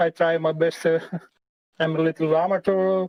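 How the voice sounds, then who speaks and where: With a non-native accent, a man speaks in a high pitch with monotone, flat intonation. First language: not English. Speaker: sim racing driver. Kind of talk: casual chat. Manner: halting.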